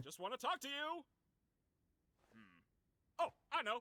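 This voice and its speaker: A cartoonish character voice, high in pitch and upbeat in tone, moves at a moderate pace. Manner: upbeat, showman, oblivious.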